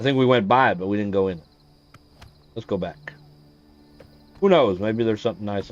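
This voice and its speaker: Over background music, a man with a fairly low pitch talks at a very fast pace, leaving long, frequent pauses. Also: ordinary pitch variation. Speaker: gaming streamer. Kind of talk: live gameplay stream commentary. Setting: live stream from PlayStation. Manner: casual, with filler words.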